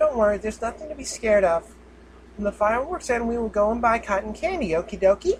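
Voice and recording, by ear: Lively intonation in natural-voiced reading aloud.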